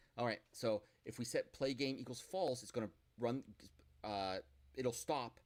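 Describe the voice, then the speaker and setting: A man's voice at a medium pitch. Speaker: college programming instructor. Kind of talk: lecture. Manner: loud. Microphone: echo.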